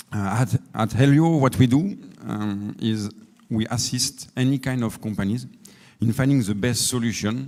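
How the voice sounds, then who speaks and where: At a moderate pace, a man speaks with a French accent. His medium-pitched voice has ordinary pitch variation. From France. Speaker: energy efficiency consultant. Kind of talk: conference panel talk. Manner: halting.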